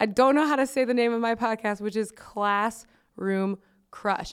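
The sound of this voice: Reading in an unforced voice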